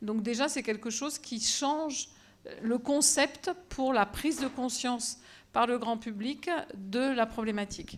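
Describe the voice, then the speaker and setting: Loud and high-pitched, a woman talks at a fairly slow pace. Her pitch variation is ordinary. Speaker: professor of bacteriology. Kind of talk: lecture. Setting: auditorium with audience.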